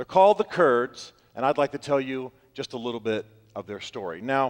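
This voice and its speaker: A man uses a normal speaking voice at a fairly high pitch with lively intonation. The sound is dry and close, with no echo. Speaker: public speaker. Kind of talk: TED-style talk. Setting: stage with audience.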